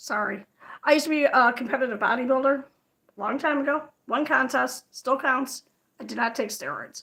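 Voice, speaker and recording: Speaking high in pitch with a bright, sharp tone, a woman raises and projects her voice. She goes at a fairly quick pace with ordinary pitch variation. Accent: American. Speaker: crochet livestreamer. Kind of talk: casual livestream chat. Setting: livestream. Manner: fast.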